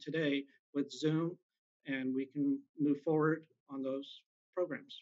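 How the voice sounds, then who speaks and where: A man with an American accent, fairly high in pitch and fairly even in intonation, over a quiet background. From US West Coast, Bay Area, California; California. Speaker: school board candidate; candidate. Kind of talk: candidate forum statements and answers. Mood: earnest, somewhat frustrated. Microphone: video call.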